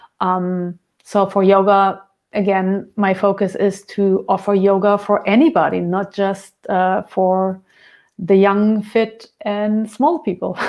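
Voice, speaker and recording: A woman speaks at a very slow pace in a German accent. Her pitch is medium and her intonation fairly even. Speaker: dance and yoga teacher. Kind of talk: interview. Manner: halting, searching for words.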